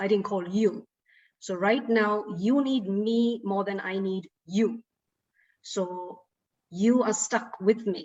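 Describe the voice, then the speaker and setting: A somewhat breathy woman at a medium pitch, with fairly even intonation, a very slow pace and long, frequent pauses. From Sri Lanka. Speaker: broadcaster and actor. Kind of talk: interview.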